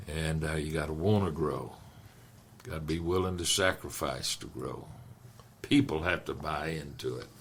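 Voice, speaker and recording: A man with very deep, low pitch and ordinary pitch variation at a moderate pace, long, frequent pauses, audible room echo. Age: 80s+. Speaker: pastor. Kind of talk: casual chat.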